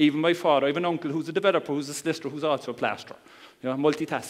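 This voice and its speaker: A man with a Cork accent is heard against noticeable background noise. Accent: Cork Irish. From Ireland, Cork. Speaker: internet marketer. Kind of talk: seminar talk. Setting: stage with audience. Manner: calm, conversational.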